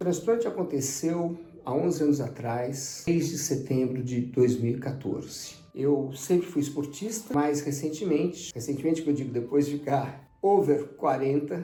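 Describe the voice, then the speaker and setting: Speaking at a fairly slow pace with hardly any pauses, a man uses a fairly high pitch and ordinary pitch variation, with audible room echo around him. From Brazil, São Paulo. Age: 60s. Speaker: transplant survivor, amateur tennis player. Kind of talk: testimony.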